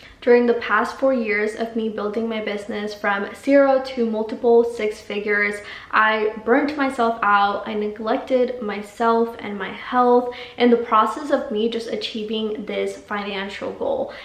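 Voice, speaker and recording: The speaker has a Spanish accent and a monotone, flat intonation, moving at a fairly slow pace with hardly any pauses. Audible room echo and noticeable background noise fill the recording. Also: woman, fairly high pitch for a woman. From Mexico, Guadalajara, moved to San Diego at ten. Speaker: life coach and vlogger. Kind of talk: personal testimony.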